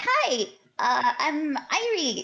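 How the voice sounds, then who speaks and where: A female-sounding, put-on character voice squeaks at a high pitch. It makes very wide pitch swings. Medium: actual play. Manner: casual, direct.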